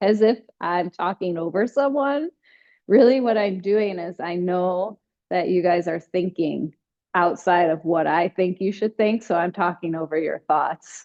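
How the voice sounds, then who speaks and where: A woman speaks fairly slowly at a medium pitch, with ordinary pitch variation. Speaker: fitness instructor. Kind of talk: exercise class instruction. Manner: louder, talking over others.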